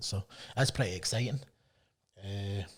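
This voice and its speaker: This man's voice is somewhat breathy. He talks at a fairly quick pace. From Scotland. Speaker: MMA promoter. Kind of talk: podcast interview.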